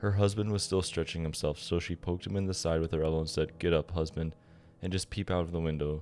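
Music plays behind a man speaking in a very deep, low voice. His intonation stays fairly even. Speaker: bedtime story narrator.

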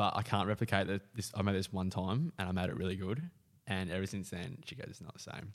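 A man with an Australian accent talks at a very fast pace in a fairly low pitch, with ordinary pitch variation and big swings in loudness, on a very clean recording with a silent background. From Western Australia. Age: 20s. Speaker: footballer. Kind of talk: casual chat.

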